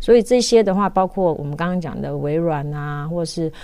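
With a dark, mellow tone, this woman's voice rests fairly low in pitch. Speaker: technology journalist. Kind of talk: interview.

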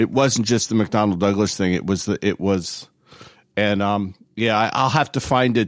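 Speaking at a moderate pace, a man has an ordinary speaking voice with fairly low pitch and ordinary pitch variation. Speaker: aviation historian.

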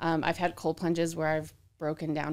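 A woman with an ordinary speaking voice talks at a fairly low pitch and a moderate pace. The recording is very clean, with a silent background. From Arizona. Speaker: real estate agent. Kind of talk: casual chat. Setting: studio.

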